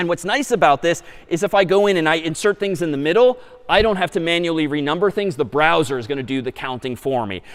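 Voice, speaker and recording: A man speaks fairly quickly in a fairly high voice, his intonation lively, with noticeable background noise behind him. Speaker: university lecturer. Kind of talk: lecture. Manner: fast.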